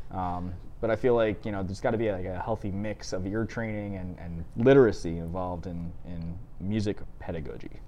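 A man speaks in a very deep, low pitch with a dark, mellow tone. His intonation stays fairly even. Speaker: co-host musician. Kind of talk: casual chat. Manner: deadpan, joking.

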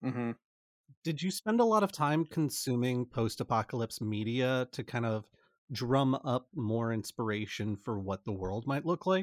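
A normal speaking voice from a man, medium in pitch, with lively intonation at a moderate pace, the sound dry and close with no echo, the recording very clean with a silent background. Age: 30s. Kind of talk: scripted outro; casual chat.

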